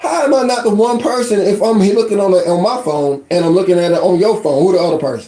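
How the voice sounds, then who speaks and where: Speaking very fast in an animated tone, a man with an American accent keeps a high pitch, lively intonation and very even loudness. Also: hardly any pauses. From West Virginia. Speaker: online life coach. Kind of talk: casual live-stream rant. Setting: live stream.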